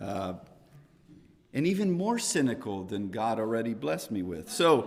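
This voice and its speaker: With lively intonation and a fairly slow pace, a man talks in a fairly low pitch amid audible room echo. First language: not English. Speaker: Bible class teacher. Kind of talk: Bible class lecture. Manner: conversational, with self-corrections.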